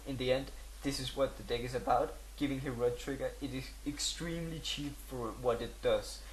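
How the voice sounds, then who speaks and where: The man keeps a moderate pace, and audible room echo surrounds his voice. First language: not English. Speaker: gaming video creator. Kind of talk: tutorial. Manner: halting, many fillers.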